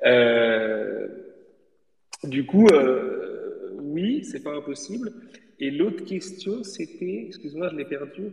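A man speaks very slowly in a high pitch, with long, frequent pauses, very wide pitch swings, and big changes in loudness. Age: 30s. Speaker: manga publisher. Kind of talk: casual interview. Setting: online audio space from home office. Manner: animated. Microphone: echo from empty room.

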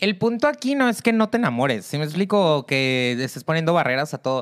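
Speaking with an animated tone at a fairly quick pace, a woman with a very deep, low voice moves through very wide pitch swings. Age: 30s. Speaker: podcast co-host, therapist. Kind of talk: casual chat.

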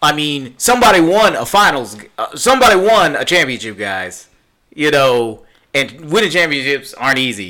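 With vocal fry and a bright, sharp tone, a man speaks at a fairly high pitch with very wide pitch swings. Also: moderate pace. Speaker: podcast co-host. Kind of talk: casual banter, live podcast.

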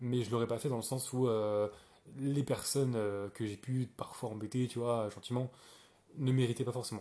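A man speaks at a medium pitch with a dark, mellow tone. His intonation is fairly even, and the background is quiet. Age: 20s. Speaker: podcaster. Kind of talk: casual monologue. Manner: hesitant, many fillers.

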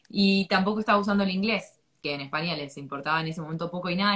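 A woman talks at a very fast pace in a fairly low pitch. Her tone is bright and sharp, her intonation fairly even. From Argentina. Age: 20s. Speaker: English teacher. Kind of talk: interview. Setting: live stream.

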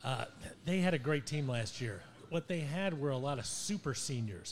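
The speaker is a man with an American accent and a fairly high pitch. There is a somewhat breathy quality to his voice. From Ohio. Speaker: sports talk co-host. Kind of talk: casual chat.

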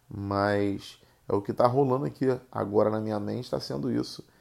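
In a Rio de Janeiro accent, a man speaks with a fairly low pitch and ordinary pitch variation. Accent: carioca. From Rio de Janeiro, Brazil. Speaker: podcast host. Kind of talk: casual solo monologue. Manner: halting, many fillers.

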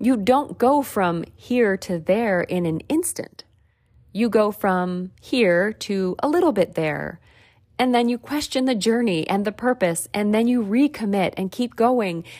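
Over a very clean, silent background, a woman speaks in a normal speaking voice at a fairly high pitch. Her pace is fairly slow and her intonation lively. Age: 40s. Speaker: podcast host, self-help coach. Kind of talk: solo self-help monologue.

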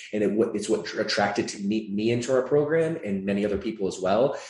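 Ordinary pitch variation in a somewhat breathy voice. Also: man. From US Midwest (Michigan), born in Atlanta, Georgia. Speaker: fitness franchise CEO. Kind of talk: interview.

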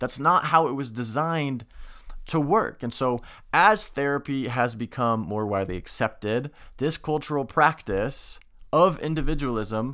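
A normal speaking voice with lively intonation at a moderate pace, in a very clean recording with a silent background. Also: man. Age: 20s. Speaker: podcast host. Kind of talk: solo monologue podcast. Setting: video recording.

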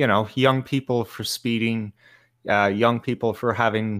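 In a very clean recording with a silent background, a man with an Irish accent talks at medium pitch in a monotone, flat delivery. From Ireland. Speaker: podcast guest. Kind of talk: casual chat.

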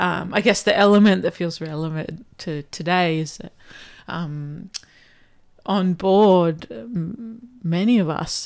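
A woman speaks in an ordinary speaking voice, pitched fairly low. Her pitch varies in an ordinary way, and the recording is very clean with a silent background. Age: 30s. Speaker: outdoor adventurer. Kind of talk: casual chat.

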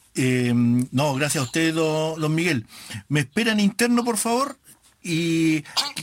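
Fairly high in pitch, a man speaks at a very slow pace with very wide pitch swings. His loudness stays very even. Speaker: online radio host of a football fan show. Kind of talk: casual radio talk and interview.

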